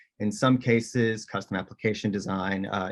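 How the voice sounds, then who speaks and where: Against a quiet background, a man talks at a fairly quick pace with a fairly low pitch and monotone, flat intonation. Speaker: technology consultant. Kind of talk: webinar presentation. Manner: fast.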